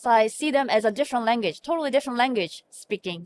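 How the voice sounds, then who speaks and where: A woman speaks with a Korean accent, at a fairly high pitch and with lively intonation. The sound is dry and close, with no echo. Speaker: hospital medical information officer. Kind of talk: interview. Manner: halting.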